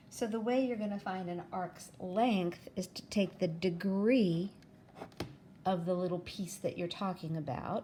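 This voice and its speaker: A woman speaks at a fairly slow pace. Her tone is dark and mellow and somewhat breathy. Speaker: math teacher. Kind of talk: tutorial.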